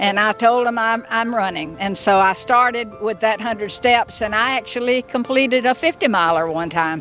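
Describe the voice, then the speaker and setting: A woman with a Southern US accent and a fairly high pitch talks with lively intonation and hardly any pauses, music playing in the background. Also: moderate pace. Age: 80s+. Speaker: masters athlete. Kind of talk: interview. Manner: halting.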